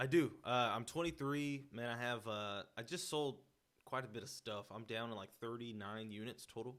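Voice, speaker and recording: A man speaks in a plain, everyday voice at a medium pitch. His pace is moderate and his pitch variation ordinary. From Houston, Texas (Sharpstown); Mexican-American. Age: 20s. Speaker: real estate investor. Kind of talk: casual interview chat. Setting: in host's house.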